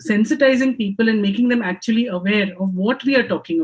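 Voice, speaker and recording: A woman speaks in a somewhat breathy, fairly high voice with ordinary pitch variation. Her pace is fairly quick. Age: 50s. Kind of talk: panel discussion. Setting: home office video call. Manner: hesitant, frequent ums.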